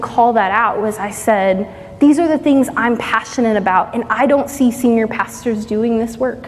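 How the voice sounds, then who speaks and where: The speaker has an American accent and talks at a moderate pace with hardly any pauses. Noticeable background noise sits behind the voice. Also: woman. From East Texas. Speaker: pastoral resident. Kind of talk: church interview testimony.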